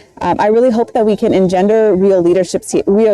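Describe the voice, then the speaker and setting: A woman with an American accent, medium pitch and ordinary pitch variation, at a fairly quick pace, in a dry, close sound with no echo. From Southern California. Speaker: doctor. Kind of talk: interview.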